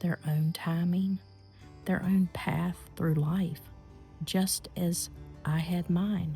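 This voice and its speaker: A woman speaks at a very slow pace, with long, frequent pauses and very even loudness in a calm, gentle tone. Music plays in the background. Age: 50s. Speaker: lifestyle reflection vlogger. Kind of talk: reflective personal talk.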